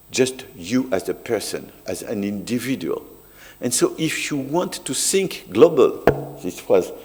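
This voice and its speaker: Someone with a French accent speaks at a fairly slow pace over noticeable background noise. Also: man. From France. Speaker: sociologist. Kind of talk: academic talk.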